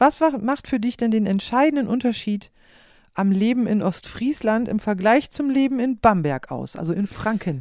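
In a very clean recording with a silent background, a woman with an ordinary speaking voice talks at a moderate pace with lively intonation. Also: fairly high pitch for a woman. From East Frisia, Germany. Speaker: podcast host and musician. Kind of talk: interview conversation. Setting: in a living room at home.

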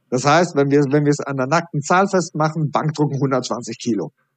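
With a normal speaking voice, a man talks at a moderate pace and fairly high pitch with ordinary pitch variation. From Iraqi-born, grew up in Germany. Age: 40s. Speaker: high performance coach. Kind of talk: interview.

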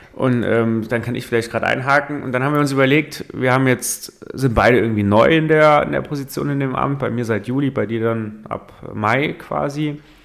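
Over noticeable background noise, a man speaks at a moderate pace. His pitch is medium and his intonation fairly even. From Saarland, Germany. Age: 20s. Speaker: state politician and podcast co-host. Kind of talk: casual chat.

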